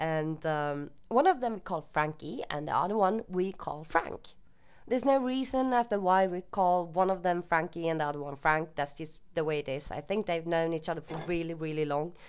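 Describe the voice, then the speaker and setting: Lively intonation from a woman with a fairly low pitch, at a moderate pace, on a very clean recording with a silent background. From Sweden. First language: Swedish. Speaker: YouTuber. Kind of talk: casual Q&A monologue. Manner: hesitant, with fillers.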